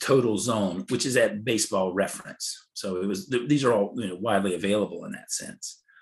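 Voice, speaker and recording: A man with an American accent talks in an ordinary speaking voice at a fairly low pitch and a moderate pace. His pitch varies in an ordinary way against a quiet background. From North Carolina. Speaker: baseball defensive metrics analyst. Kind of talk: podcast interview.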